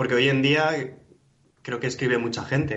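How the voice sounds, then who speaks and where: A man's medium-pitched, monotone, flat delivery at a moderate pace, with audible room echo. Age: 20s. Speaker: poet. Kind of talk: interview conversation. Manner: halting, many fillers.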